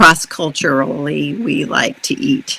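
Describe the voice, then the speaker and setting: This woman has an American accent. Her pitch is very deep and low. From United States. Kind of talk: interview answer. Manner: hesitant, many fillers.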